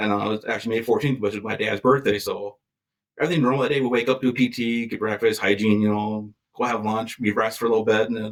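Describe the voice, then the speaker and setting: A man with an Upper Midwest accent, medium pitch, fairly even intonation and a very fast pace. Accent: Upper Midwest American. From Wisconsin, near Green Bay. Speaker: war veteran and firefighter. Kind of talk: interview answer. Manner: casual, conversational.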